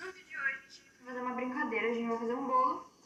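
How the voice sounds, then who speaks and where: Amid audible room echo, a woman speaks at a high pitch that varies in an ordinary way. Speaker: youtuber. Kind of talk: casual chat. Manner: animated.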